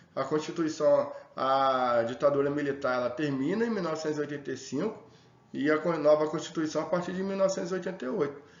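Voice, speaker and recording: A man talking at a fairly quick pace with ordinary pitch variation, over noticeable background noise and audible room echo. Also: fairly high pitch for a man. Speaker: sociology teacher. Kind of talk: lecture. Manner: fast; casual.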